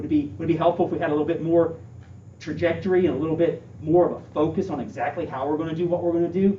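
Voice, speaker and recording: Rushing at a very fast pace, a man speaks at a fairly high pitch with vocal fry and audible room echo. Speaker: school administrator candidate. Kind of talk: interview Q&A. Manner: animated.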